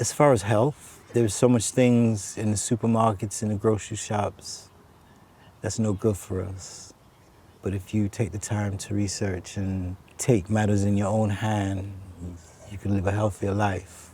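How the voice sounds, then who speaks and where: Somewhat breathy and dark, mellow in tone, the voice speaks with an American accent in a monotone, flat intonation at a fairly slow pace. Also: man, fairly low pitch for a man. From US Northeast, New York City (Bronx, Harlem). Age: 60s. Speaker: stranger on a park bench. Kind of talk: casual conversation.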